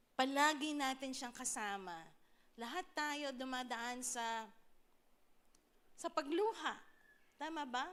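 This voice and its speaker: Speaking at a very slow pace with long, frequent pauses, a woman talks in a high pitch with ordinary pitch variation. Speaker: pastor. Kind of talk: sermon.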